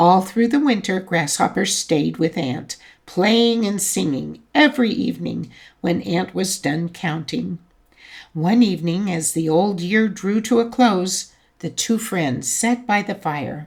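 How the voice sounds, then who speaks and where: A raspy put-on character voice moves at a fairly slow pace. The intonation is lively. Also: woman, medium pitch for a woman. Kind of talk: bedtime story. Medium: read story. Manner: warm, gently expressive.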